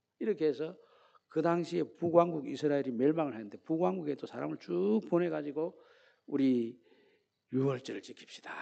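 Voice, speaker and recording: In a Gyeongsang accent, a man with a dark, mellow tone speaks at a fairly high pitch and moderate pace, with lively intonation and big swings in loudness. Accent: Gyeongsang dialect, imprecise pronunciation. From Gyeongsang region, Korea. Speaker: pastor. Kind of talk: sermon.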